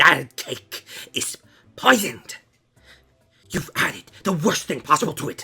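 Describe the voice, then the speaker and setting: The speaker uses a put-on character voice at a fairly slow pace. Faint music sits in the background. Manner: indignant, ranting.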